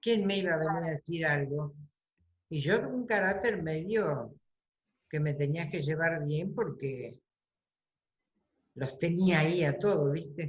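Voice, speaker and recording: A woman's very deep, low voice, somewhat breathy, at a fairly slow pace with ordinary pitch variation and long, frequent pauses. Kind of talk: interview answer.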